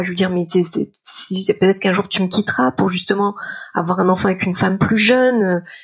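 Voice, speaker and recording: This woman's voice is somewhat breathy and sits at a medium pitch. She speaks at a moderate pace with ordinary pitch variation. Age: 40s. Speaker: freelance art director and writer sharing a personal story. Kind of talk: personal testimony.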